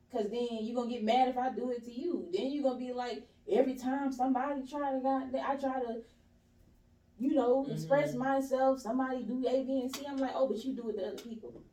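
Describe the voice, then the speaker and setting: A woman with an American accent talks very fast at a high pitch, her tone dark and mellow. Her intonation stays fairly even, and there is audible room echo. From US South, East Point, Georgia. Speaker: podcast guest. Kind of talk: casual chat.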